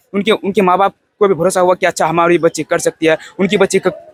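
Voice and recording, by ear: The speech comes at a fast pace with fairly even intonation. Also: man, high pitch for a man, dry, close sound with no echo.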